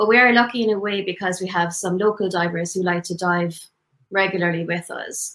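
A woman with an Irish accent speaks with fairly even intonation. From Tipperary, Ireland. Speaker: dive instructor. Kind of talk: interview promoting business.

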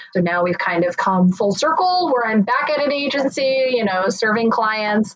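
With hardly any pauses, the voice moves at a moderate pace with lively intonation and very even loudness over noticeable background noise. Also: woman, fairly high pitch for a woman. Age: 30s. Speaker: marketing executive. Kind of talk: interview.

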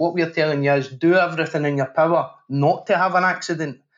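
A man talks with a Glaswegian accent and ordinary pitch variation. The recording is very clean, with a silent background. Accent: Glaswegian Scottish. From Scotland, Glasgow. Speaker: safety professional and podcast host. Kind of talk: interview conversation.

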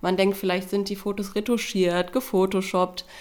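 The woman talks at a fairly quick pace. Her intonation stays monotone and flat. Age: 20s. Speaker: weight-loss program participant. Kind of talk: interview. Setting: studio.

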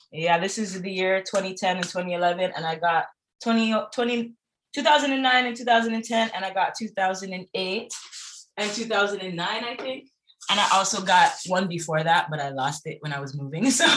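Animated in tone, a woman with a Toronto accent and a medium pitch speaks with lively intonation. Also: fairly slow pace. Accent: Toronto Canadian English. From Toronto, Canada. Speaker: singer and former sprinter. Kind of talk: casual interview chat.

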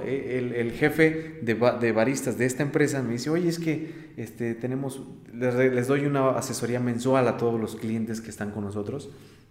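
A man of medium pitch speaks with ordinary pitch variation. Noticeable background noise and audible room echo fill the recording. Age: 30s. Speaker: coffee roaster and business owner. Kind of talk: interview. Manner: halting, many fillers and repetitions.

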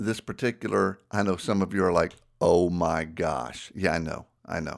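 In a very clean recording with a silent background, a man with a Southern US accent talks at a fairly slow pace in a fairly low pitch. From US South. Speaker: ministry podcast host. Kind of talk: casual chat; teaching talk.

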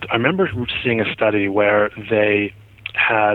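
With an American accent, a man speaks in a plain, everyday voice. His pitch is fairly low and his intonation fairly even. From New Jersey. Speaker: cardiologist. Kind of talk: interview.

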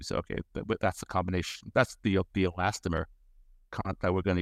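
The recording is very clean, with a silent background and a dry, close sound with no echo. A man speaks in a very deep, low pitch. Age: 70s. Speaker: doctor and tech company founder. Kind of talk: interview. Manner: halting.

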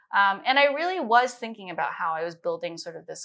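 A woman with a Midwestern accent, bright and sharp in tone, at a fairly quick pace with very wide pitch swings. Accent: American Midwest. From US Midwest (Minnesota, then Chicago). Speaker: chief science officer. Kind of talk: interview.

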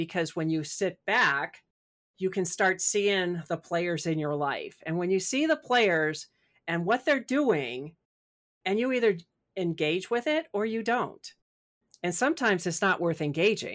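A woman with an American accent speaks fairly slowly in an unremarkable speaking voice, at medium pitch and with lively intonation. The recording is very clean, with a silent background. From US Midwest. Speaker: spiritual author and coach. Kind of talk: interview.

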